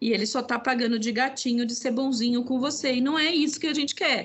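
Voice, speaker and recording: In a high pitch, a woman talks at a fairly quick pace. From Brazil, Northeast (sertão de Alagoas). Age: 50s. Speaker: entrepreneur and women's business network founder. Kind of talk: interview conversation.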